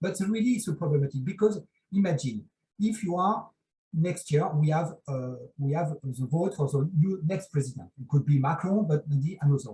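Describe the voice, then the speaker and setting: Speaking with a French accent, a man with a fairly high pitch uses lively intonation in a dark, mellow tone. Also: moderate pace. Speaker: dermatologist, conference panelist. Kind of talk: panel discussion. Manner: halting.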